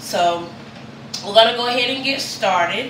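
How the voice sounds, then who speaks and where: Noticeable background noise is present. Through it, a woman talks. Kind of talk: cooking tutorial. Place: kitchen. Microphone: camera far.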